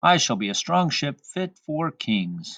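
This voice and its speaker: A man in a put-on character voice, fairly high-pitched, at a fairly slow pace. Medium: read story. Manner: proud, eager.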